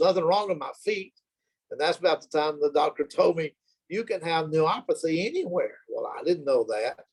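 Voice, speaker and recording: This is a man talking. He has a Southern US accent. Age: 70s. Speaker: retiree sharing health testimony. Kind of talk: testimony. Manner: halting, many fillers.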